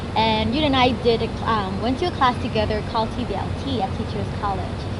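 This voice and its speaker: Background noise can be clearly heard. Over it, a woman talks fairly quickly. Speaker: English teacher. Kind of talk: interview questions.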